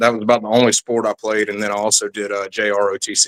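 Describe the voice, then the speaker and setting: A fairly quick, monotone delivery with flat intonation in a South Carolina Lowcountry accent, the sound dry and close with no echo. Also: man. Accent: Southern US (South Carolina Lowcountry). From US South, South Carolina Low Country. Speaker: military veteran. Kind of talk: interview testimony.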